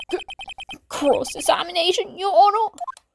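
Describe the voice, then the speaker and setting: A woman puts on a character voice and talks at a moderate pace. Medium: game stream.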